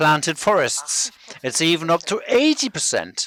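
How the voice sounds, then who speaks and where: A man speaks with an Israeli accent. The sound is dry and close, with no echo. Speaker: biodiversity researcher. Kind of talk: lecture. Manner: halting.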